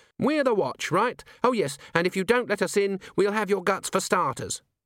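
Using a put-on character voice, a man talks at a moderate pace with a high pitch. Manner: gruff, threatening.

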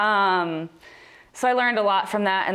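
A woman speaks at a very fast pace with ordinary pitch variation. Noticeable background noise is present. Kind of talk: casual chat.

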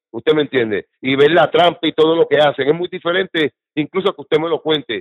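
Talking fairly quickly, a man uses a normal speaking voice with a fairly high pitch and ordinary pitch variation. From Puerto Rico. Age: 50s. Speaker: political activist. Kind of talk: casual interview.

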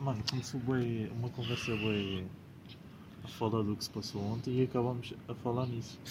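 A somewhat breathy man speaks at medium pitch and a moderate pace with monotone, flat intonation. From Portugal, Lisbon. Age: 20s. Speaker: podcast co-host. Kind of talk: casual chat.

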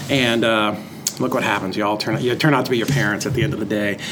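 A man with an American accent speaks amid noticeable background noise and audible room echo. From Massachusetts, near Lowell. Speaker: real estate investor. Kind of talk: interview. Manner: casual, hesitant with fillers.

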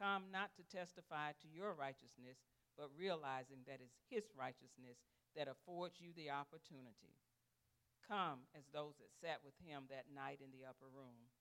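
A man with a fairly high pitch, a bright, sharp tone, and ordinary pitch variation, at a moderate pace with big swings in loudness. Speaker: communion reader. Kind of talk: reading aloud liturgy. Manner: formal, measured.

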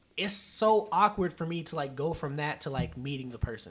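A man's moderate pace and ordinary pitch variation, an unremarkable speaking voice. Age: 30s. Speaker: podcast host. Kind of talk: casual chat.

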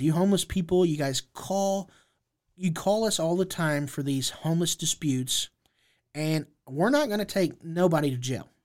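This is a man with a high pitch. He speaks at a moderate pace. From Indianapolis, Indiana. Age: 30s. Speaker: formerly homeless advocate. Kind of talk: interview.

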